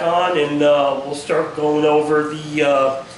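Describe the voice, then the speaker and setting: A man's fairly high voice amid audible room echo and noticeable background noise. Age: 60s. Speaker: hot rod builder, shop video host. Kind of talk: casual shop tutorial. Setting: home workshop. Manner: hesitant, many fillers.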